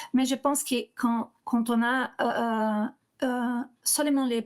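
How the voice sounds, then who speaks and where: A woman with a fairly high pitch speaks at a very slow pace with fairly even intonation. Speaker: corporate lawyer. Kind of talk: webinar presentation. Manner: halting, many repetitions and fillers.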